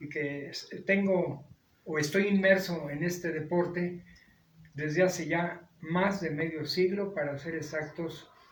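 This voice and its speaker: Audible room echo surrounds a man speaking at a fairly slow pace. His pitch is high. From Mexico, León, Guanajuato, then Mexico City from age 13. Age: 70s. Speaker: retired lawyer and wrestling historian. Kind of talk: interview.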